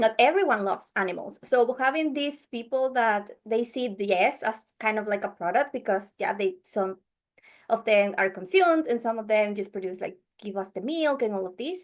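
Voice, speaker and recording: A woman with a Venezuelan accent speaks at a fairly high pitch with lively intonation against a quiet background. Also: moderate pace. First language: Spanish. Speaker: podcast editor. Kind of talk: interview. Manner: halting.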